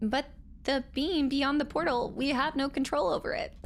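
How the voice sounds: In a put-on character voice, a female-sounding speaker uses a high pitch and a timid tone at a moderate pace, with clear background noise.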